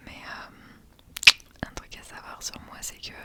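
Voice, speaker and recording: Over noticeable background noise, the woman whispers very slowly. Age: 30s. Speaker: mother of two young children. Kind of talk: ASMR talk to camera. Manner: whispered.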